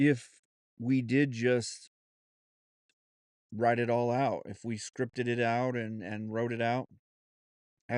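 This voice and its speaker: A man speaks very slowly at a medium pitch, flat and monotone. The sound is dry and close with no echo, and the background is quiet. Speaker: podcast host. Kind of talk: solo podcast monologue, unscripted. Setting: home studio. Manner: halting, many fillers and restarts.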